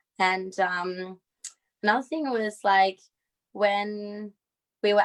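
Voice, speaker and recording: A woman with an Australian accent talks at a medium pitch. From Australia, Perth. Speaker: synchronized skater. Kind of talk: casual talk on a video stream.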